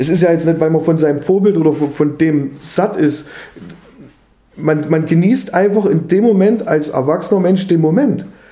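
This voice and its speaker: There is audible room echo and noticeable background noise behind a man speaking at a high pitch. He keeps a moderate pace with ordinary pitch variation. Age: 30s. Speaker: podcast co-host. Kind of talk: casual chat.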